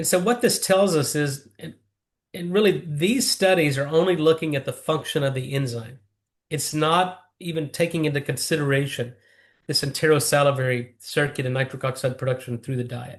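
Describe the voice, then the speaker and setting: A man's fairly high, somewhat breathy voice at a moderate pace with ordinary pitch variation, over a quiet background. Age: 50s. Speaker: nitric oxide researcher. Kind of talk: interview. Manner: fluent, technical explanations.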